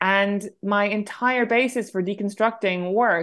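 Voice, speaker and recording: A woman speaks with an Irish accent at a medium pitch, her intonation fairly even. The background is quiet. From Ireland. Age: 30s. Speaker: novelist. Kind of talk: interview. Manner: halting.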